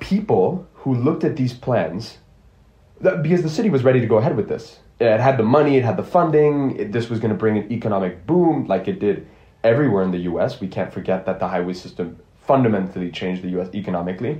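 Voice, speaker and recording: A man's somewhat breathy, dark, mellow voice at a very fast pace, with very wide pitch swings. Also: medium pitch for a man. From Geneva, Switzerland (earlier years in Ohio). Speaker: university student, podcast panelist. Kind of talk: casual panel discussion.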